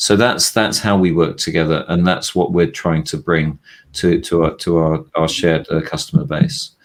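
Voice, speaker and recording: With a British accent, this voice moves along at a moderate pace. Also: man. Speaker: VP of research at a tech analyst firm. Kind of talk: business presentation; casual chat.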